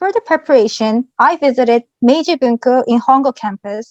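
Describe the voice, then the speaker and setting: Speaking in a Korean accent, a woman talks at a moderate pace with a fairly high pitch and ordinary pitch variation. The sound is dry and close, with no echo. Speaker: former exchange student. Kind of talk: presentation.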